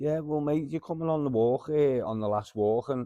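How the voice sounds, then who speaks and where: With a Liverpool accent, a man talks at a fairly quick pace and ordinary pitch variation in a dry, close sound with no echo. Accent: Scouse. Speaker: mental health group founder. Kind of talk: podcast interview.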